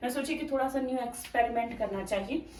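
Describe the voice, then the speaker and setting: Lively intonation marks the high-pitched voice of a woman. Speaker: vlogger. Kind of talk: casual vlog talk. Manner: not speaking loudly.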